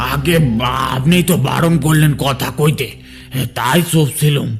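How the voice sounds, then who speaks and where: A raspy, fairly high-pitched cartoonish character voice from a man at a moderate pace, with clear background noise. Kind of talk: rural colloquial speech.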